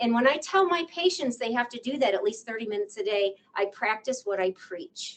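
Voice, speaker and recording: A woman talks at a fairly quick pace. Her pitch is high. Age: 60s. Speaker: psychologist. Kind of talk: lecture. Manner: conversational.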